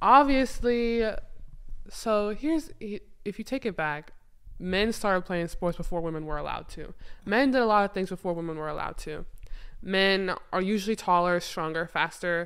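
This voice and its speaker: On a very clean recording with a silent background, a woman with an ordinary speaking voice talks at a moderate pace and medium pitch with lively intonation. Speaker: former college basketball player. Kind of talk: casual chat.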